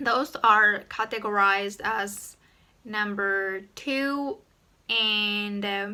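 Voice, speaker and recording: A woman with a Japanese accent, a bright, sharp tone and a medium pitch, at a very slow pace with fairly even intonation. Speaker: YouTuber. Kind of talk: tutorial.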